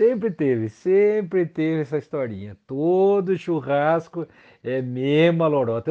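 The man's delivery is very slow, yet his intonation is lively. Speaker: friend of the hosts. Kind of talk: casual chat.

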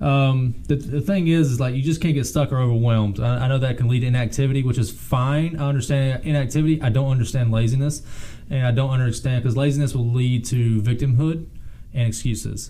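A man talks at a fairly quick pace and medium pitch, with fairly even intonation and very even loudness. Noticeable background noise is present. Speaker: podcast co-host. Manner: conversational, casual.

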